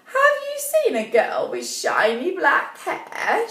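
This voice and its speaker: Cackling in a put-on character voice, a woman talks at a fairly slow pace in an extremely high pitch over light background noise. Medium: read story.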